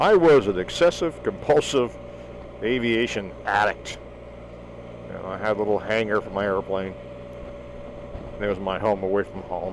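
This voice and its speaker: A man with an American accent speaks at a moderate pace and a fairly low pitch, with ordinary pitch variation, big swings in loudness, and long, frequent pauses, over noticeable background noise. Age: 60s. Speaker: vlogger. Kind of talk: casual monologue. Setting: outdoors.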